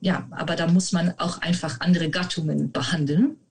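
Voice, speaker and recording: The speaker has a Dutch accent and a moderate pace, with ordinary pitch variation. Noticeable background noise runs underneath. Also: woman. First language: Dutch (speaking German). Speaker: medieval literature researcher. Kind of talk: interview. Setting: video call.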